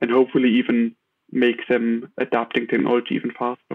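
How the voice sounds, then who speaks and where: In a German accent, a man talks at a fairly quick pace with monotone, flat intonation. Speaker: tech startup founder. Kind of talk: interview. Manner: halting, many fillers.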